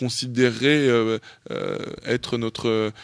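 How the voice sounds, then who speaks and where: A man's voice, dry and close with no echo, on a very clean recording with a silent background. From France, Paris. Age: 30s. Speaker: dancer and author. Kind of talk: interview. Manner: casual, halting with many fillers.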